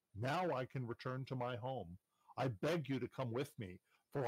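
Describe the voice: Someone reads aloud plainly, intonation fairly even, against a quiet backdrop.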